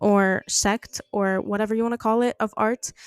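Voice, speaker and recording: The speaker has a non-native accent and a fairly slow pace. The very clean recording has a silent background and a dry, close sound with no echo. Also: woman. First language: not English. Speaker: art podcast host. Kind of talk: casual monologue. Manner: halting, many fillers.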